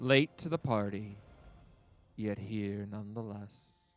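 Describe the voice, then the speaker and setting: A man's put-on character voice, booming and resonant, fairly low in pitch with a sinister tone, over faint music in the background. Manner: sinister, mocking.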